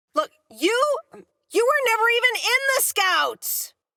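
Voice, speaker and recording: The put-on character voice sounds squeaky and moves at a fairly slow pace. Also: woman, extremely high pitch for a woman. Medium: machinima. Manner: dry, wry.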